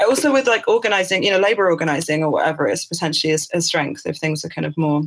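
Here a woman talks with a British accent. Her pace is very fast. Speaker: artist and writer. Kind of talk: interview. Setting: remote call. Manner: halting.

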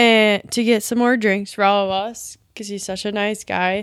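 In an Upper Midwest US accent, a woman speaks at a fairly slow pace. The recording is very clean, with a silent background. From rural Wisconsin. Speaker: guest, girlfriend of the main guest. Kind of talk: casual chat.

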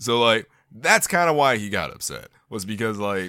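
With vocal fry and a bright, sharp tone, a man speaks with very wide pitch swings. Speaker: podcast co-host. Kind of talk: casual chat.

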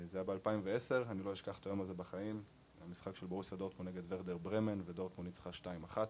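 A man's very deep, low voice in a flat monotone at a very fast pace. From Israel, Arad. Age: 30s. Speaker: podcast host. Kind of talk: casual chat.

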